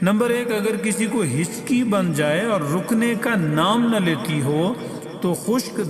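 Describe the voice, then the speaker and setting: Music sounds in the background. Over it, a man speaks at a high pitch. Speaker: voice artist. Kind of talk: health tips narration.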